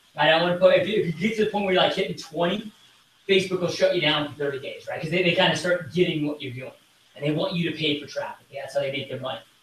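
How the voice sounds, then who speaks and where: Talking very fast with an American accent, a man uses a high pitch, an animated tone, ordinary pitch variation, and big swings in loudness over noticeable background noise. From Michigan. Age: 30s. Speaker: real estate team leader. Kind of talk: interview. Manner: casual and animated.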